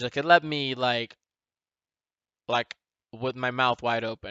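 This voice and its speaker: Fairly even intonation comes from a man speaking with a non-native accent. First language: not English. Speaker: gaming talk show host. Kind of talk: casual solo talk show. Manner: halting, many fillers.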